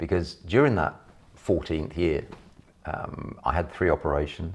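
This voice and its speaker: The speaker has a London accent. Pitch variation is ordinary. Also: man. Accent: sounds like a Londoner. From Yorkshire and Hertfordshire, England. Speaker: property investor and trainer. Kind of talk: personal life story.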